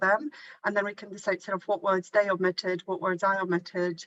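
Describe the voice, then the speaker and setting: Woman with a Polish accent, medium pitch and a bright, sharp tone, fairly quick pace and fairly even intonation. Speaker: university teacher. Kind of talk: workshop discussion. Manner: halting, many repetitions.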